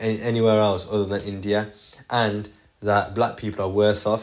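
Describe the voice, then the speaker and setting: A man speaks at a moderate pace in a British accent, his pitch fairly low. The recording is very clean, with a silent background. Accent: British, regional. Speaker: podcast host. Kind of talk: casual monologue podcast. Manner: casual, energetic.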